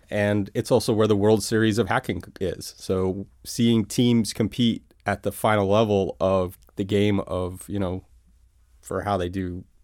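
In a very clean recording with a silent background, a man with an American accent speaks at a fairly low pitch and a fairly slow pace in a monotone, flat intonation. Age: 40s. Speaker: cybersecurity company founder. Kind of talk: interview.

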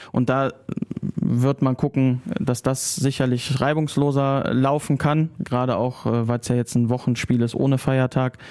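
A man with an ordinary speaking voice talks fairly slowly at a medium pitch, his intonation fairly even. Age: 40s. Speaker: club press officer. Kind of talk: casual interview. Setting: studio.

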